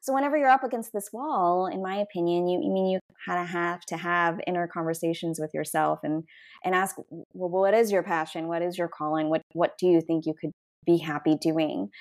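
A woman with a fairly low pitch talks at a fairly quick pace in an ordinary speaking voice with an American accent and ordinary pitch variation. The recording is very clean, with a silent background and a dry, close sound with no echo. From US South, Georgia. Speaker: restaurateur. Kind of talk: interview.

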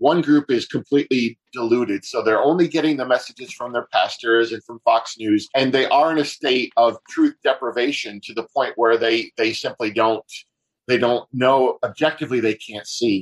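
A man with an American accent and an ordinary speaking voice talks at a medium pitch and a moderate pace. His intonation is fairly even, his loudness swings widely, and the sound is dry and close with no echo. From upstate New York. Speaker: pastor and author. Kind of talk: interview.

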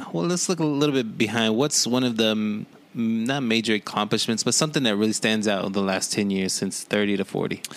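A normal speaking voice runs at a fairly quick pace with hardly any pauses, ordinary pitch variation and very even loudness. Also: man, medium pitch for a man. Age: 40s. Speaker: podcast co-host. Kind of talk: casual chat.

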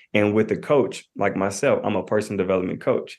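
A man speaks with an American accent at a medium pitch. He has ordinary pitch variation and an ordinary speaking voice. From US South, Knoxville, Tennessee. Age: 20s. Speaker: marriage and family therapist. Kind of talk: podcast interview.

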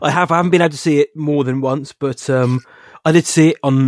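A man with an English accent speaks at a fairly quick pace in a fairly high pitch, his intonation fairly even and the sound dry and close with no echo. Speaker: film podcast co-host. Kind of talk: casual chat.

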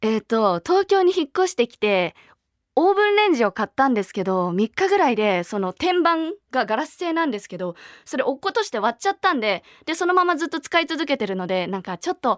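A woman talks at a fairly quick pace and high pitch, her pitch swinging very widely. The sound is dry and close with no echo, in a very clean recording with a silent background. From Niigata, Japan. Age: 20s. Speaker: voice actress and idol singer. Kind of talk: interview Q&A on radio.

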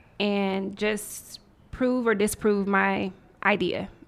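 With an American accent, a woman speaks in a normal speaking voice at a medium pitch and with fairly even intonation. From US South, Nashville, Tennessee. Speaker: tech entrepreneur. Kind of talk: interview.

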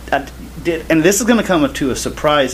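Noticeable background noise sits behind a voice with a Southern US accent. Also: man. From US South. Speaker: podcast co-host, gospel singer. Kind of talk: casual chat.

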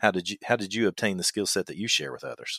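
The recording is very clean over a silent background. Its sound is dry and close, without echo. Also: man. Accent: Kentucky. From Kentucky. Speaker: survival instructor and podcast host. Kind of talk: casual podcast conversation.

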